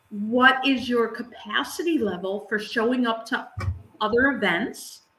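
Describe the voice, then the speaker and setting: A woman with an ordinary speaking voice, fairly high pitch, ordinary pitch variation and a fairly slow pace. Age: 60s. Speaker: grief coach and podcast host. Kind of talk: casual chat. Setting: live recording.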